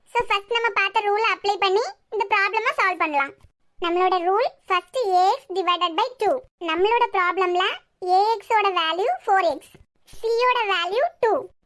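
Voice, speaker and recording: A woman speaks at a fairly slow pace in a cartoonish character voice pitched extremely high. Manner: calm, clear.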